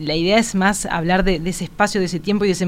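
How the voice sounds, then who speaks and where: A woman's fairly low voice, an ordinary speaking voice, with fairly even intonation. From Uruguay. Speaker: visual artist. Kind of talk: interview. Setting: radio studio.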